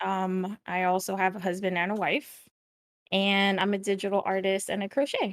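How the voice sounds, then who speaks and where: Using a plain, everyday voice, a woman speaks at a moderate pace and a medium pitch. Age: 30s. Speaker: digital artist and streamer. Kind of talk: casual chat.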